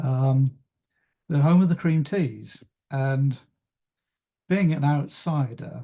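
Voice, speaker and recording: Breathing somewhat breathily, a man with a fairly high pitch and a dark, mellow tone speaks at a very slow pace with fairly even intonation, very even loudness, and long, frequent pauses. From West Country of England. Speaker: travel consultancy coach. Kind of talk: webinar presentation. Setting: online webinar. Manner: hesitant, many fillers.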